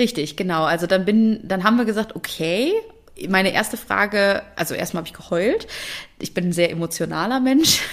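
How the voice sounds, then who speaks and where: Amid noticeable background noise, a woman with a medium pitch talks at a fairly quick pace with lively intonation. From Germany. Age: 30s. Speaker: engineer and conference organiser. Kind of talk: interview.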